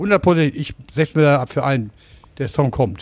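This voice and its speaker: The man's voice is fairly high. His intonation is lively. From Lower Saxony, Germany. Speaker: singer and pub owner. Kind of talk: casual interview. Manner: halting.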